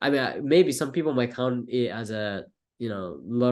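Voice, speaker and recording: A man with a Japanese accent speaks at a fairly slow pace. His pitch is medium, and the background is quiet. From Japan, Tokyo. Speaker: filmmaker, college student. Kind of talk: interview. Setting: podcast. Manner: halting.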